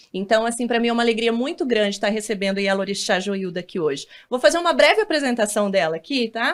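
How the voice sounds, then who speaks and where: A woman's high-pitched voice at a fairly quick pace, with very wide pitch swings, in a very clean recording with a silent background. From northern Paraná, Brazil. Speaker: TV interviewer. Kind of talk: interview.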